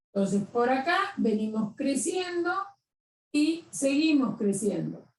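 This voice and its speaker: In a high voice, a woman speaks with very wide pitch swings. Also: long, frequent pauses. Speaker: math teacher. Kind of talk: lecture.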